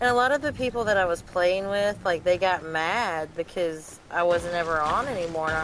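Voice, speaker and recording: A woman with a Southern US accent and a fairly low pitch, fairly slow pace, ordinary pitch variation, and noticeable background noise. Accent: Southern, country. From US South, North Carolina and West Virginia mountains. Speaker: gamer streamer. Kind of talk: casual chat while gaming.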